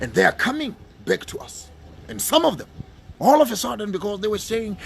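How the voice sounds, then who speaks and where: A man talks at a very fast pace with a high pitch. His tone is animated. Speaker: pan-African speaker. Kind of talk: radio talk, impassioned monologue. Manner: animated, emphatic.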